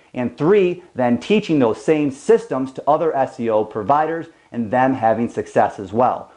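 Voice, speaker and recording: With hardly any pauses, a man speaks in a medium pitch, using lively intonation and a dark, mellow tone. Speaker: SEO business owner. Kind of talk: presentation. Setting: whiteboard room with camera. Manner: fast.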